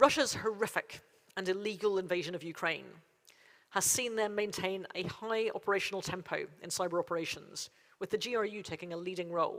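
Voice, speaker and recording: A woman with a Derry accent speaks with ordinary pitch variation. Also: medium pitch for a woman, fairly quick pace. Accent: Northern Irish (Derry). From Northern Ireland, Derry. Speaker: cybersecurity agency chief executive. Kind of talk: conference keynote speech. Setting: conference stage with audience. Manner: formal.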